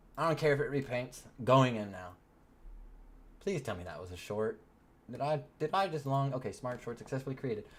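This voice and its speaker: Speaking with an American accent at a fairly quick pace, a man with medium pitch sounds animated and somewhat breathy, with lively intonation, big swings in loudness and long, frequent pauses. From Texas, small rural town. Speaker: crypto trading streamer. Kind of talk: live stream commentary. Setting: live stream at home. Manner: casual, animated.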